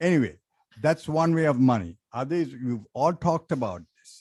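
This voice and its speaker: With a Sri Lankan accent, a man talks at a moderate pace with lively intonation. The sound is dry and close, with no echo. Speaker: resident speaking at public comment. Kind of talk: public comment at council meeting. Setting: city council chamber.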